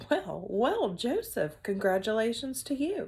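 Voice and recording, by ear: Put-on character voice at a fairly slow pace, with big pitch swings, a slightly mellow tone and a slightly husky edge. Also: woman, fairly high pitch for a woman.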